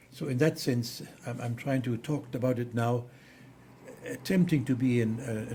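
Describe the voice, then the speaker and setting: Medium-pitched man's voice with a German accent, fairly even intonation and a moderate pace. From Germany. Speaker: theologian. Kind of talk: interview. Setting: studio. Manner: halting.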